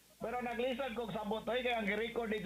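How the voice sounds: In a room with audible echo, a man talks at a fairly quick pace with a high pitch and a bright, sharp tone.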